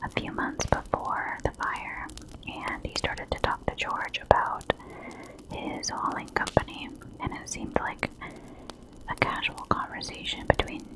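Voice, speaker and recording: A woman whispering at a fairly slow pace, over noticeable background noise. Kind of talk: ASMR true crime storytelling. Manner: whispered, soft-spoken.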